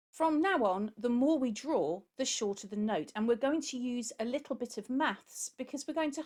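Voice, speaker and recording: A woman speaks with a British accent at a high pitch, her voice making very wide pitch swings. The recording is very clean, with a silent background. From UK. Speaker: music teacher. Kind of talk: tutorial.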